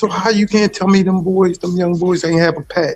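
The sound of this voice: A man with a high pitch speaks at a moderate pace, his tone slightly mellow and his intonation fairly even.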